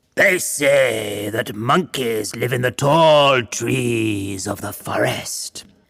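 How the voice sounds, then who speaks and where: In a put-on character voice, a man speaks at a very slow pace with a raspy, medium-pitched sound. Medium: read story.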